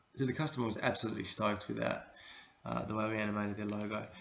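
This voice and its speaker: This man has a relaxed tone and an Australian accent. He talks at a fairly quick pace. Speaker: creative director, video producer. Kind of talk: casual talk to camera, portfolio walkthrough. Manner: relaxed, hesitant, many fillers.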